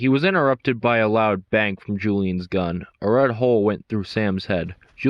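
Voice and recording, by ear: Someone reads aloud, using a natural voice. Ordinary variation marks the pitch.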